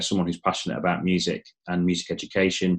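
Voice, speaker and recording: A man's very deep, low voice with an English accent, at a fairly quick pace over a quiet background. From England. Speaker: company founder. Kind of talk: webinar presentation.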